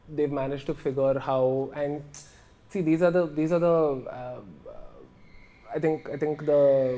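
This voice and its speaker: A man's fairly high voice at a fairly slow pace, fairly even in intonation, with long, frequent pauses. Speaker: advertising creative director. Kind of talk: interview. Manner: halting; casual.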